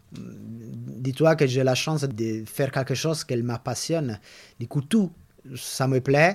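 Speaking at a very slow pace with an Italian accent, a man uses a medium pitch and ordinary pitch variation, sounding somewhat breathy on a very clean recording with a silent background. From Italy. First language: Italian (speaking French). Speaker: veterinary orthopedic surgeon. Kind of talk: interview. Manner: halting.

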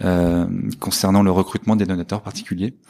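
A man with a normal speaking voice, fairly low in pitch, with fairly even intonation. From northern France. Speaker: fundraising manager at a business school. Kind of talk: interview.

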